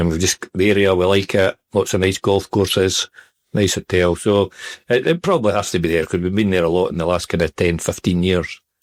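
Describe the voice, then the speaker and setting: A man's very deep, low voice with a Scottish accent, fairly quick and very even in loudness, with a dry, close sound and no echo. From Scotland, Perthshire. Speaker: retired footballer. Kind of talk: interview. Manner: hesitant, filler-heavy.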